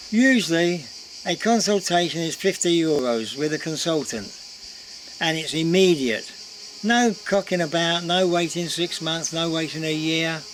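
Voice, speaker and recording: The speaker has an English accent and talks at a moderate pace. Noticeable background noise runs underneath. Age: 70s. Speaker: vlogger. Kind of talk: casual vlog talk to camera. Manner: chatty, informal.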